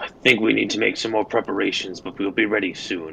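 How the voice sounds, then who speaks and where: A man uses a put-on character voice, raspy and fairly low in pitch. He talks at a fairly quick pace over clear background noise. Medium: actual play. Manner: polite, measured.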